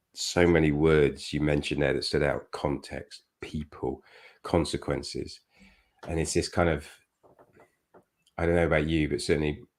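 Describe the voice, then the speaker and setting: A man's very deep, low voice with vocal fry, monotone and flat intonation, and long, frequent pauses. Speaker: team coaching podcast host. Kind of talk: casual chat. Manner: fast.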